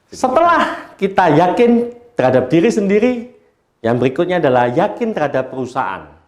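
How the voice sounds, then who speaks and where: A man speaks at a fairly quick pace in a high voice. His pitch swings very widely. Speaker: network marketing trainer. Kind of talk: sales training talk.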